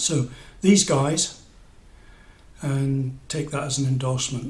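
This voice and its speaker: Speaking at a very slow pace, a man has an English accent and a somewhat breathy voice. His intonation stays fairly even. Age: 60s. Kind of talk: casual review monologue. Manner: hesitant, many fillers.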